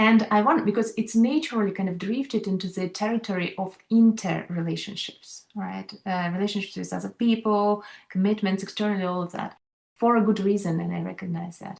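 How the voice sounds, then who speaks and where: Somewhat breathy, a woman talks at a fairly quick pace and medium pitch with fairly even intonation. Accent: non-native. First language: not English. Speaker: leadership coach. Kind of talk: panel discussion.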